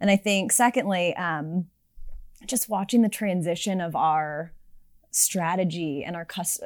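In a very clean recording with a silent background, a woman with an American accent talks at a fairly low pitch with ordinary pitch variation. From US West Coast, Silicon Valley. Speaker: tech sales executive. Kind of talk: casual interview.

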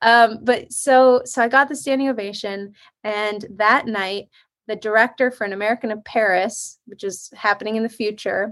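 A woman with a fairly high pitch talks at a moderate pace with fairly even intonation, in a very clean recording against a silent background. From US West, South Lake Tahoe, California. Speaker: ballet dancer turned singer-songwriter. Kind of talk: interview.

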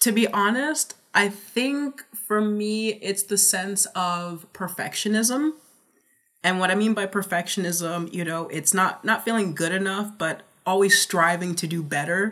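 A woman with an American accent speaks at a fairly slow pace in a medium pitch. Her tone is bright and sharp, with ordinary pitch variation. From New Jersey. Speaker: neurodivergence advocate. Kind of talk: casual interview chat. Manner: energetic.

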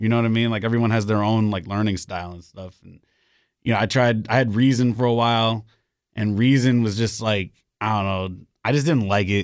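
A plain, everyday voice with an American accent and fairly even intonation, though the loudness swings widely. The recording is very clean, with a silent background. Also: man, fairly low pitch for a man, fairly quick pace. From New York, the Bronx. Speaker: DJ and hip hop producer. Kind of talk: casual chat. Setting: studio.

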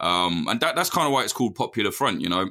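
A man speaks very fast in a bright, sharp tone. The recording is very clean, with a silent background. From English Midlands. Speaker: war journalist. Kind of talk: casual interview. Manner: casual, animated.

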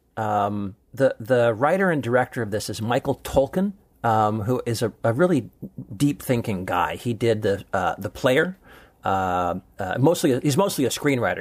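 A man with a West Coast US accent, medium pitch, and moderate pace. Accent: General American (West Coast). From Southern California, Long Beach. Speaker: film critic and podcast co-host. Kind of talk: casual advice chat with film recommendations. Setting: studio. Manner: hesitant, many fillers and repetitions.

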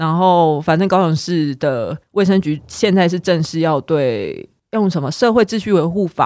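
A woman speaks fairly slowly in a normal speaking voice, with ordinary pitch variation and hardly any pauses. The recording is very clean, with a silent background. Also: fairly low pitch for a woman. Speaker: podcast co-host. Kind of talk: casual chat.

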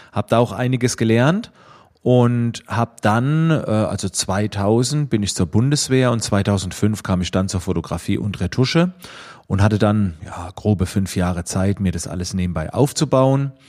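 In a very clean recording with a silent background, a man speaks at a fairly slow pace with a fairly low pitch and lively intonation. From Germany, Schwetzingen near Heidelberg-Mannheim. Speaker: photographer and trainer. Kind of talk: self-recorded interview answers. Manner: hesitant, many fillers.

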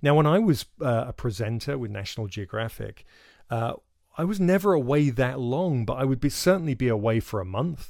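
With a southern English accent and lively intonation, a man speaks in a very clean recording with a silent background. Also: medium pitch for a man, fairly quick pace. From England. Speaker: podcast host and wildlife filmmaker. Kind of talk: casual monologue. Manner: hesitant, filler-heavy.

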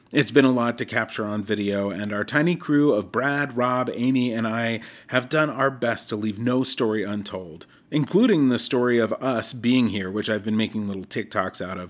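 An unremarkable speaking voice from a man, medium in pitch, at a moderate pace with ordinary pitch variation. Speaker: mental health segment host, traveling. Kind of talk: reflective personal narration. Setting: hotel in Africa, recorded remotely.

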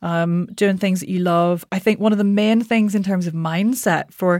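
A plain, everyday voice: a woman at a medium pitch and moderate pace with fairly even intonation, on a very clean recording with a silent background. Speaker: voice coach. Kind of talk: casual interview chat.

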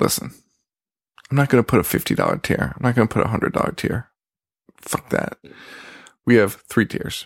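Quiet and marked by vocal fry, a man with a medium pitch and ordinary pitch variation talks at a fairly quick pace with long, frequent pauses, in a dry, close sound with no echo. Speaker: horror podcast host. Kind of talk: solo casual podcast monologue. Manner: half-quiet talk.

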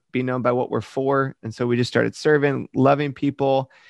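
A man with an American accent speaks in an ordinary speaking voice at medium pitch and a fairly quick pace. The sound is dry and close, with no echo. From Michigan, US Midwest. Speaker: pastor. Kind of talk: interview.

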